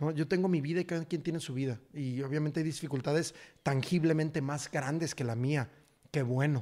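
Fairly quick, fairly even speech from a man with a fairly high pitch and a dark, mellow tone, set against a quiet background. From Mexico. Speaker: actor. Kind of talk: casual chat. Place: studio. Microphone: studio mic.

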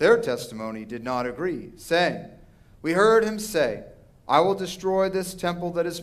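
This is a man speaking. He keeps a moderate pace. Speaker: minister reading scripture. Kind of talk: liturgical scripture reading. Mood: solemn, calm. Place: church. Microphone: podium.

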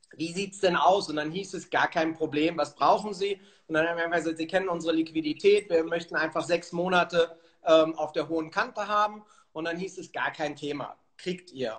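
A man with a high voice talks at a fairly quick pace and fairly even intonation against a quiet background. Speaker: remote guest. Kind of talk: interview answer. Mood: calm, reflective. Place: home room. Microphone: phone near.

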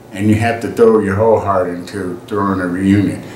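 A man with a fairly low pitch and monotone, flat intonation at a fairly quick pace, with audible room echo and light background noise. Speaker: family reunion vlogger. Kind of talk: casual vlog chat. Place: home room.

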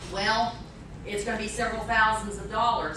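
A woman's voice with audible room echo and noticeable background noise. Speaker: speaker. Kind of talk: talk with audience Q&A. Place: hall. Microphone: camera far.

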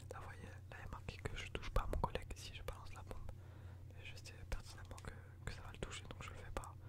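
A man whispers. He goes at a very fast pace. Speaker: ASMR and gaming YouTuber. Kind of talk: casual gameplay commentary to camera. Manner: chatty, relaxed. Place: home room.

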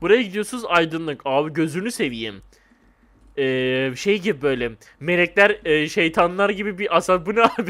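This man's voice sits high in pitch. His tone is bright and sharp. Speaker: gaming YouTuber. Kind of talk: gameplay commentary. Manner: animated.

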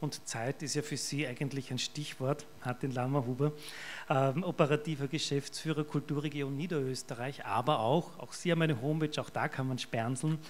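Over light background noise, a man with an Austrian accent talks at a fairly high pitch with fairly even intonation. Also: moderate pace. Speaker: event host, volunteer treasurer of hospice association; event moderator. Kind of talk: event moderation. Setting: stage with audience. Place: hall. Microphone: pa.

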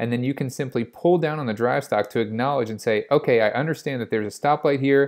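A man's intonation stays fairly even, and the background is quiet. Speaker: car channel host. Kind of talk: tutorial commentary. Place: car.

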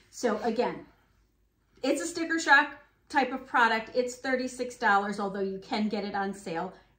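A woman with a high, bright, sharp tone talks at a moderate pace with lively intonation, and audible room echo surrounds her. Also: long, frequent pauses. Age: 50s. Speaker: beauty vlogger. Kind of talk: product review. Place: home room.

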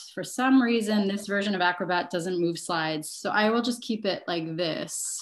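An ordinary speaking voice from a woman of medium pitch, with ordinary pitch variation, a moderate pace, hardly any pauses, and light background noise. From Montreal, Canada; Quebec, Canada. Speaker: fashion designer and sustainability professor; sustainability professor. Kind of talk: online workshop presentation. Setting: video call. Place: home room. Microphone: video call.

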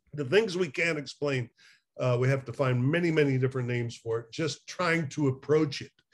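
His voice is somewhat breathy and fairly high for a man. Pitch variation is ordinary. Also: fairly quick pace. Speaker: addiction recovery therapist. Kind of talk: casual conversation. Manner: animated, laughs often. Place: home room. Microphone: webcam.

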